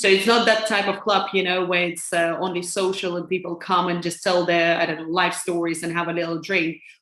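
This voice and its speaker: A woman talks at a fairly quick pace in a fairly low pitch, keeping her intonation fairly even. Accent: Lithuanian. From Lithuania. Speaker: financial advisor. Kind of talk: interview. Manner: hesitant, many fillers.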